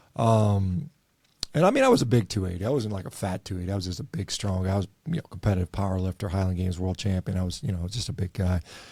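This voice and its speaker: On a very clean recording with a silent background, a man with a very deep, low pitch and a dark, mellow, somewhat breathy tone talks very fast. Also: ordinary pitch variation. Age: 50s. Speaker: doctor. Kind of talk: interview.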